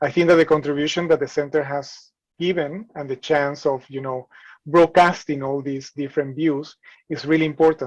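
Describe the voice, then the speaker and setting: A man with a non-native accent speaks at a fairly high pitch. His intonation is monotone and flat. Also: moderate pace. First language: not English. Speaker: professor of heritage conservation. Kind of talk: panel discussion.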